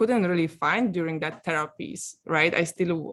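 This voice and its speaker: Speaking with a Polish accent, a woman has a fairly low pitch and a fairly slow pace. The recording is very clean, with a silent background. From Poland, small village. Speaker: coaching client giving testimonial, actress. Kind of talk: testimonial interview. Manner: halting, many fillers.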